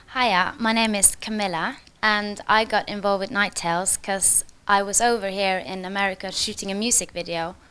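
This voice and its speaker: A woman with a Norwegian accent speaks at a moderate pace in a bright, sharp tone and medium pitch, on a very clean recording with a silent background. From Norway. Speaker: singer and actress. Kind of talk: on-set interview.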